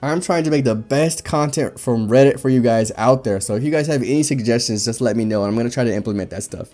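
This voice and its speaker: Music plays in the background as a man speaks very fast in an animated tone at a medium pitch. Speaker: reddit story reader and commentator. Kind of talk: reading aloud with casual commentary. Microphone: echo.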